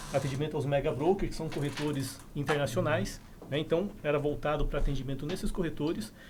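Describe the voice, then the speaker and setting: A man's voice, somewhat breathy and fairly high-pitched, moves along at a fairly quick pace. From southern Brazil, Curitiba. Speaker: insurance company branch manager. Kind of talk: casual podcast interview.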